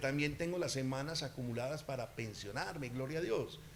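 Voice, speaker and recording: In a room with audible echo, a man speaks at a fairly quick pace in an animated tone. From Colombia, eastern Antioquia. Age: 60s. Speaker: political candidate. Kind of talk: campaign interview.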